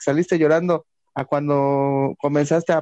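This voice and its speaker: The sound is dry and close, with no echo. A man talks in a dark, mellow tone. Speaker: sports podcast co-host. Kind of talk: interview. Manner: halting. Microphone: bad internet connection.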